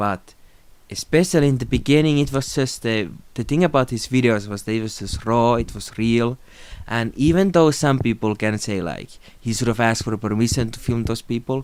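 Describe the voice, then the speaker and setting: Here a man speaks with a Finnish accent at a fairly quick pace. His voice sits at a medium pitch with ordinary variation. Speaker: YouTuber. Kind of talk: unscripted tribute monologue. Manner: unscripted, somewhat halting.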